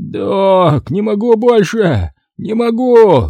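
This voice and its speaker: In a put-on character voice, a man speaks very slowly at a high pitch with lively intonation. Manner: desperate, pleading.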